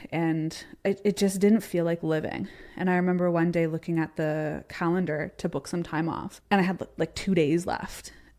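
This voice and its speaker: On a very clean recording with a silent background, a woman with a Canadian accent speaks at a fairly low pitch and moderate pace in a dark, mellow, monotone, flat voice. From Canada (Ontario). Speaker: entrepreneur and former athlete. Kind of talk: interview conversation. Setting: live show.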